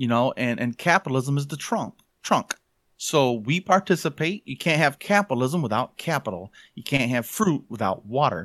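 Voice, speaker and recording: Speaking with a Midwestern American accent, a man has a fairly high pitch that swings very widely, at a moderate pace. The recording is very clean, with a silent background and a dry, close sound with no echo. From southwest Michigan, US. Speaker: blogger and podcaster. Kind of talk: casual chat.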